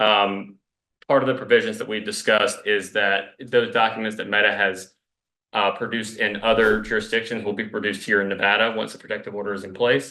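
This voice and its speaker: Bright and sharp in tone, a man with an American accent speaks at a fairly quick pace with fairly low pitch and fairly even intonation. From US South. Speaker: attorney arguing for the state. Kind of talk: courtroom oral argument. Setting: courtroom. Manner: fast; halting, many fillers.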